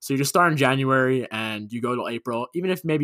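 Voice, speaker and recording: Someone talks at a very fast pace with a New York accent in a bright, sharp tone, the recording very clean with a silent background and a dry, close sound with no echo. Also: man. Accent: New York area American. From Long Island, New York. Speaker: podcast co-host, hockey fan. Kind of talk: casual chat.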